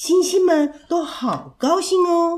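A woman with a gentle, warm tone speaks at a very slow pace. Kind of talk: children's bedtime story narration. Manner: gentle, warm and sing-song, with a playful storyteller's lilt.

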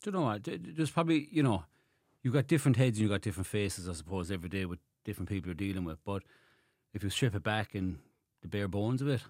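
A man with a Limerick accent speaks at a very fast pace and a fairly low pitch with lively intonation and long, frequent pauses, in a very clean recording with a silent background. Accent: Irish (Limerick). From Ireland, Limerick. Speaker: barber and barbershop owner. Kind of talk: casual interview chat.

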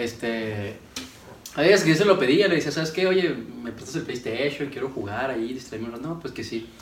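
A man at a moderate pace with lively intonation, amid audible room echo and noticeable background noise. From Ciudad Juárez, Chihuahua, northern Mexico. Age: 20s. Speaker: engineering student and entrepreneur. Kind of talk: casual chat.

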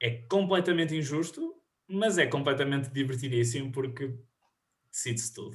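This man's voice is fairly high for a man and somewhat breathy, with ordinary pitch variation at a moderate pace. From northern Portugal, Viana do Castelo. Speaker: podcast host, university student. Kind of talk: quiz hosting. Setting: video call.

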